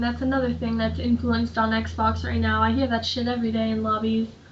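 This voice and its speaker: Noticeable background noise behind a woman talking at a fairly quick clip. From Ontario, Canada. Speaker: gaming YouTuber. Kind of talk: gameplay commentary. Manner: casual.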